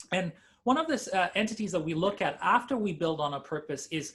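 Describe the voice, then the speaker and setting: At a fairly quick pace, a man with a Canadian accent talks with lively intonation. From Canada. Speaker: digital strategist. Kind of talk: webinar presentation.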